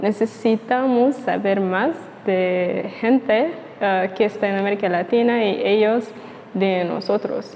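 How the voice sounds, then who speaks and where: Amid noticeable background noise, a woman with a fairly high pitch and ordinary pitch variation speaks at a very slow pace. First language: not Spanish; learner (speaking Spanish). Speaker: YouTuber. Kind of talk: casual vlog monologue. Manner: halting, with fillers.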